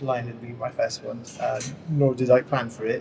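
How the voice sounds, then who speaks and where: A man talks with fairly even intonation. Behind him, background noise is noticeable. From Greece. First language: Greek. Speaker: game studio founder. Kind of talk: panel discussion. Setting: studio. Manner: halting, many fillers.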